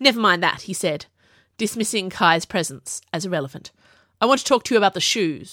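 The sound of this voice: An unforced reading voice over a quiet background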